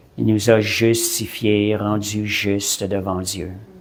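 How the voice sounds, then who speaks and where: A man at a fairly low pitch and a very slow pace, with audible room echo. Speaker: preacher. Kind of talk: sermon. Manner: halting, repeats words.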